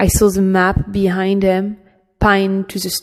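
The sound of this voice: Quiet background behind an unforced reading voice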